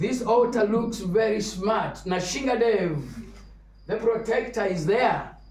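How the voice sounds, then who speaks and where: Man at a fairly slow pace with ordinary pitch variation, noticeable background noise and audible room echo. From Kenya. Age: 70s. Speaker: visiting Hare Krishna speaker. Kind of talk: religious talk.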